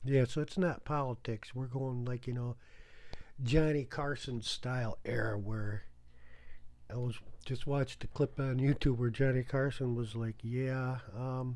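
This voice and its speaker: In an ordinary speaking voice, someone talks at a fairly slow pace with fairly even intonation. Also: man, medium pitch for a man. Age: 60s. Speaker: video blogger. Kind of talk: casual monologue. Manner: rambling, conversational.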